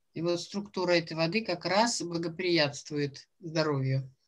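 This woman uses a normal speaking voice, her fairly low pitch showing ordinary pitch variation as she talks at a moderate pace. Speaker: jury member at a student science fair. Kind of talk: questioning students after presentations. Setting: video call.

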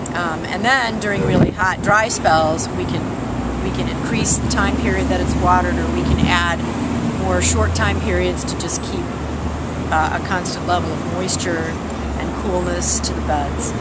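A woman's voice in a dry recording with no echo, over loud background noise. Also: moderate pace. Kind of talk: interview answer. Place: garden. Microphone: camera far.

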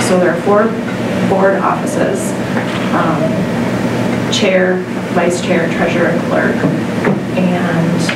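Loud background noise and audible room echo surround the recording. The speaker is a woman. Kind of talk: meeting chairing. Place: meeting room. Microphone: camera far.

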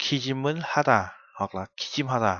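A man with a plain, everyday voice speaks at medium pitch with ordinary pitch variation, the sound dry with no echo over a quiet background. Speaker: Korean language teacher. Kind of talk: lecture.

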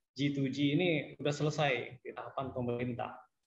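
A man speaks at a medium pitch with a somewhat breathy voice. His intonation stays fairly even at a moderate pace. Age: young. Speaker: young entrepreneur. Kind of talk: webinar panel remarks.

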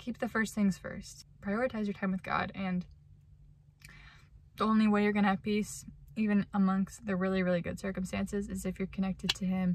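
A woman speaks with monotone, flat intonation, and the sound is dry with no echo under light background noise. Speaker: vlogger. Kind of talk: casual vlog chat, reflective faith talk. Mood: reflective, earnest. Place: car. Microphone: phone near.

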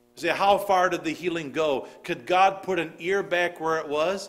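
Pitch shifts in an ordinary way as the speech moves at a moderate speed. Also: man. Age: 40s. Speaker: pastor. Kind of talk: sermon. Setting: church service with congregation. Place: church. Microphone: podium.

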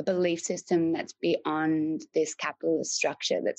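A woman with an Australian accent, in a dry, close sound with no echo. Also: quiet background. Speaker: artist and mentor. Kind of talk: interview conversation.

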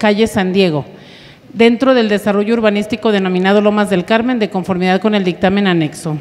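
Her loudness very even, a woman speaks at a fairly quick pace. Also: ordinary pitch variation. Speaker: council secretary reading agenda. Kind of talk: formal agenda reading. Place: meeting room. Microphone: podium.

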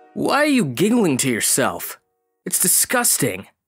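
With faint music behind him, a man does a high-pitched put-on character voice at a moderate pace. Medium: dub. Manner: disdainful.

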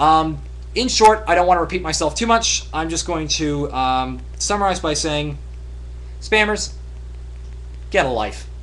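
Over noticeable background noise, a man speaks fairly slowly, leaving long, frequent pauses. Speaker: video blogger. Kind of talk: monologue to camera. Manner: halting, many ums and uhs; in-your-face talking.

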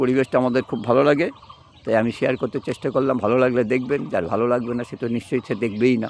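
Noticeable background noise runs under the voice. The intonation stays fairly even. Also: man. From West Bengal. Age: old. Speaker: vlogger. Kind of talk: casual vlog. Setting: outdoors.

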